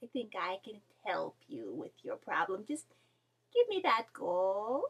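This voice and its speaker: Using a put-on character voice, a woman speaks at a fairly slow pace in a fairly high pitch, with big swings in loudness. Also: dry, close sound with no echo. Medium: read story. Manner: knowing, conspiratorial.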